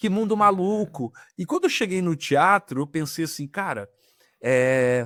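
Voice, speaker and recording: Speaking fairly slowly, a man uses lively intonation at a high pitch, with a dry, close sound and no echo. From Rio de Janeiro, Brazil. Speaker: actor and film director. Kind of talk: podcast interview. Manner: casual, conversational.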